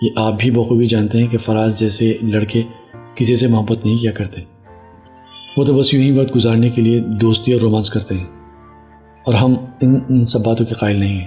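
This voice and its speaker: A man speaks in a monotone, flat way at a moderate pace, with long, frequent pauses and music in the background. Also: medium pitch for a man. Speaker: radio jockey. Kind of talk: audio story narration.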